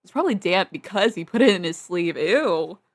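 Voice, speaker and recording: Lively intonation marks this woman's speech. She talks at a medium pitch. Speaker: gaming streamer. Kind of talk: let's play commentary reading game text aloud. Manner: fast; stumbling over words.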